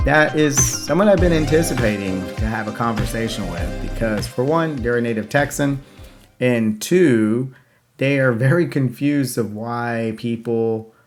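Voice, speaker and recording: A man's medium-pitched voice moves at a moderate pace with ordinary pitch variation. Behind him, music plays. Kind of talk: intro to camera.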